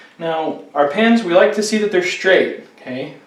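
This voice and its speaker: Noticeable background noise sits behind a man talking at a moderate pace with ordinary pitch variation. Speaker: fire safety instructor. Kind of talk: instructional tutorial demonstration. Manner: conversational, explanatory.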